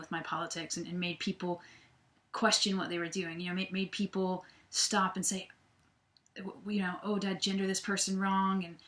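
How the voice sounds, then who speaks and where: A woman speaks at a fairly quick pace with a medium pitch, on a very clean recording with a silent background. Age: 30s. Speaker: vlogger. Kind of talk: personal vlog. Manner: halting, many fillers and repeats.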